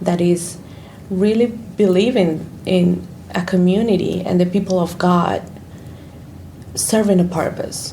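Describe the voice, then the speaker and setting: Fairly low-pitched woman with fairly even intonation, audible room echo and noticeable background noise. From Colombia. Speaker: church ministry worker. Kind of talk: interview.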